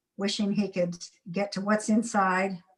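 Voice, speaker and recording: Somewhat breathy and flat in intonation, a woman talks at medium pitch and a fairly slow pace. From Kentucky, US. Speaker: museum curator and collector. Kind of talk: guided tour. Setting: video call.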